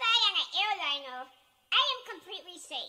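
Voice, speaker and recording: A woman uses a raised, projected voice at a fairly slow pace, her extremely high pitch moving in very wide swings. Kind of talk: comedic monologue.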